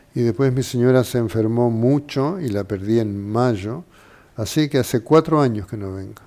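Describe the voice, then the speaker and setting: Speaking in a Uruguayan accent, a man talks at a moderate pace with medium pitch and ordinary pitch variation. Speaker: doctor. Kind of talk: interview.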